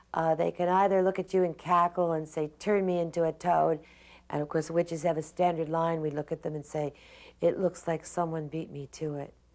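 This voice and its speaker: A woman at a fairly low pitch, fairly quick pace and monotone, flat intonation, against a quiet background. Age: 60s. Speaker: witch and shop owner. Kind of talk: interview.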